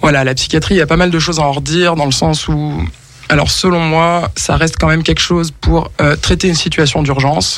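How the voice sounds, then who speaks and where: With a normal speaking voice, a man talks at a fairly quick pace in a fairly high pitch, keeping his loudness very even. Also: fairly even intonation. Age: 30s. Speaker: musician. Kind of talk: radio interview. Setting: radio studio.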